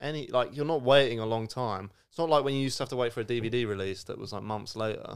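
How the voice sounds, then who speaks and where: On a very clean recording with a silent background, a man with a southern English accent talks at a very fast pace with hardly any pauses, his medium-pitched voice showing ordinary pitch variation and big swings in loudness. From Surrey, England. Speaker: podcast co-host. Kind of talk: casual chat.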